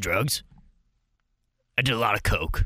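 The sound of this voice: A man uses a put-on character voice. It is gravelly and sits at a medium pitch.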